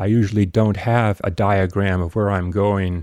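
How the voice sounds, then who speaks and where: In a very clean recording with a silent background and a dry, close sound with no echo, a man speaks at a moderate pace with a fairly low pitch, a dark, mellow tone and ordinary pitch variation. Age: 70s. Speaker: playwright. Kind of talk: casual interview. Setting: studio.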